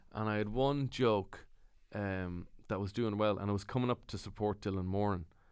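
In a very clean recording with a silent background, a man with an Ulster accent speaks at a moderate pace, his fairly low pitch held to fairly even intonation. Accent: Irish (Cavan). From Ireland, County Cavan. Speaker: comedian. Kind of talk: casual chat.

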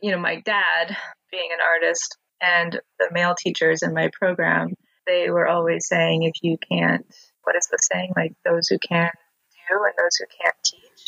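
Recorded with a dry, close sound and no echo, a woman with an American accent speaks at a fairly slow pace. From US West, Montana. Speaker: artist and art teacher. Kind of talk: interview conversation.

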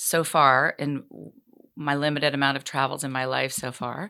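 This woman has a very deep, low pitch and a bright, sharp tone, with an American accent. The recording is very clean, with a silent background. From US Northeast (Massachusetts, New Jersey). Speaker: fashion designer, entrepreneur. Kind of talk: interview. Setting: studio.

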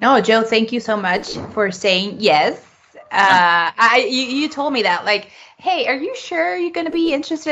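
A fairly slow pace with very wide pitch swings. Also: woman. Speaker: co-host. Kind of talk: casual chat.

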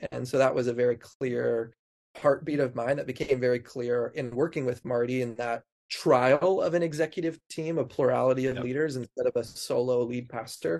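A man with an American accent and a normal speaking voice, at a medium pitch with ordinary pitch variation and a fairly quick pace. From US Pacific Northwest, Snoqualmie Valley, Washington. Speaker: pastor. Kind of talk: casual chat.

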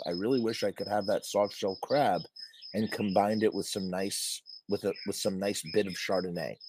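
A man puts on a character voice, hoarse and raspy, at a fairly low pitch. He keeps a moderate pace.

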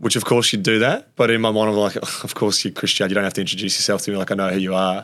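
Talking at a very fast pace with an Australian accent, a man keeps his fairly low voice monotone and flat. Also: hardly any pauses. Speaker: former AFL player. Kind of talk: casual interview chat.

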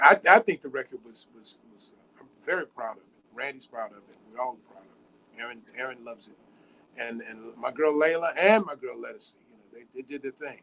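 Lively intonation and big swings in loudness mark a man with an American accent speaking at a fairly quick pace. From US Midwest, Chicago. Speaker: jazz drummer and bandleader. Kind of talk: casual interview. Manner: halting, repetitive.

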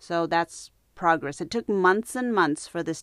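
Heard on a very clean recording with a silent background and a dry, close sound with no echo, a woman has an unremarkable speaking voice, talking at a fairly slow pace with ordinary pitch variation. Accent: American. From United States. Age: 50s. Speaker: yoga and meditation teacher. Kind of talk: unscripted monologue. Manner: conversational.

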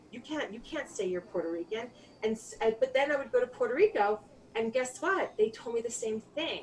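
A woman with a New York accent talks at a fairly quick pace, her fairly high pitch carrying lively intonation. Noticeable background noise runs underneath. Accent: New York American English. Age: 40s. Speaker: filmmaker and keynote speaker. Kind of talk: interview. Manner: halting.

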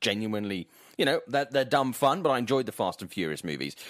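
A man with a Welsh accent at a medium pitch, with very wide pitch swings, on a very clean recording with a silent background. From Swansea, South Wales. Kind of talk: casual chat.

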